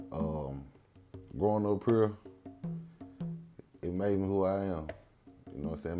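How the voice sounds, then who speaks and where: At a moderate pace with ordinary pitch variation, a speaker with a Mississippi Delta accent leaves long, frequent pauses while music plays in the background. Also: man. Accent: Southern US (Mississippi Delta). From Tunica, Mississippi Delta. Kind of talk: interview answer. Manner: casual, conversational.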